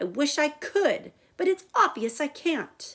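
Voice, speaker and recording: A woman puts on a squeaky, high-pitched character voice and delivers it at a fairly slow pace. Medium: read story. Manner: aloof, guarded.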